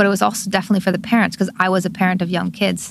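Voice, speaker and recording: Speaking at a very fast pace, a woman with a medium-pitched voice sounds somewhat breathy. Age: 50s. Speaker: bike shop owner and former social worker. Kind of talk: interview.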